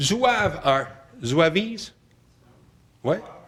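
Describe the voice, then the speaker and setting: Speaking in a Quebec accent, a man has a bright, sharp tone. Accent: Québécois French accent in English. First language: French. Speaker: art historian. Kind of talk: lecture. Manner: halting, many fillers.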